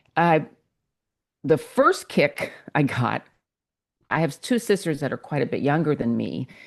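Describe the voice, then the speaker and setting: A woman's very deep, low voice with vocal fry and very wide pitch swings, fairly slow, with long, frequent pauses over a quiet background. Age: 60s. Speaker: novelist. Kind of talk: interview.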